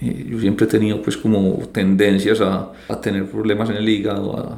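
The man's voice is fairly low in pitch, with fairly even intonation. Room echo is audible. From Colombia, Antioquia (Medellín). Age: 30s. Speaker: financial advisor. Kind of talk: interview.

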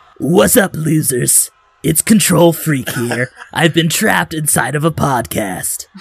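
A man's put-on character voice, guttural and fairly high-pitched, with lively intonation at a fairly slow pace. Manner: mocking, brash.

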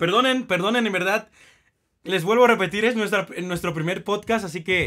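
Raised and projected, a man's high voice has a bright, sharp tone and fairly even intonation. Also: moderate pace. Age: 20s. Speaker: podcast host. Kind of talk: casual chat.

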